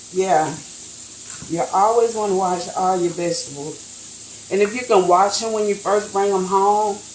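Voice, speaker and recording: Noticeable background noise and audible room echo surround a woman of medium pitch who talks at a moderate pace with long, frequent pauses. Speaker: raw food business owner. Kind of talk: cooking tutorial. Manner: halting, many fillers.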